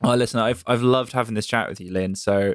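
A man's medium-pitched voice at a fairly quick pace, dry and close with no echo. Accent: West Country. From England, Bristol. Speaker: podcast host. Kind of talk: casual chat.

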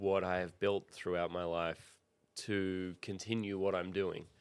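A man speaks with an Australian accent, his pitch fairly low. The background is quiet. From Australia, Sydney. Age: 30s. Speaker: professional skateboarder. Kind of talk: casual chat.

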